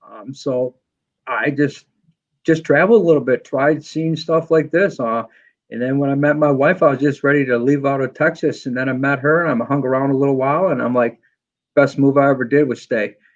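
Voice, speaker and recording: A man with a New England accent speaks at a fairly quick pace in a fairly high pitch. His pitch varies in an ordinary way against a quiet background. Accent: Yankee. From New York. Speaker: motorcycle footpeg maker and machinist. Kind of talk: podcast interview. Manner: fast.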